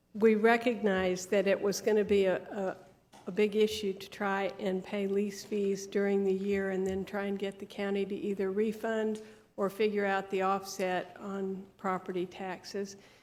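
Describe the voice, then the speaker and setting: This soft-spoken woman talks at a moderate pace. Her intonation is flat and monotone. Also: medium pitch for a woman. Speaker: business owner presenting to county commission. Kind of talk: public meeting presentation. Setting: county commission board room. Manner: halting. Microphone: too quiet, mic needed lowering.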